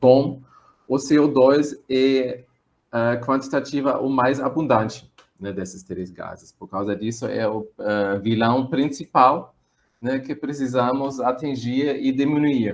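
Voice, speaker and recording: Loudness swings widely as a man with a medium pitch talks at a very slow pace. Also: ordinary pitch variation. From Germany. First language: German (speaking Portuguese). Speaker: visiting professor, marine biogeochemist. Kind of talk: webinar lecture. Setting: online webinar. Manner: hesitant, many fillers.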